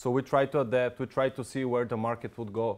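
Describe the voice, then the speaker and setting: A man at medium pitch with a non-native accent, talking at a fairly quick pace in a very clean recording with a silent background. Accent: foreign. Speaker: software consultant presenter. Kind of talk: product presentation. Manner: fast.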